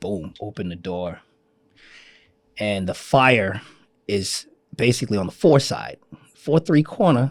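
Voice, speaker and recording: This man has a fairly low pitch and speaks with a New York accent. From Queens, New York. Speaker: fire commissioner. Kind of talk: interview answer. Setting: studio.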